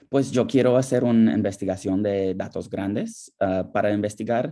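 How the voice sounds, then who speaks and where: A man's dark, mellow tone in an English accent. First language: English (speaking Spanish). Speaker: nurse researcher. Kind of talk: webinar Q&A. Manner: halting, with fillers.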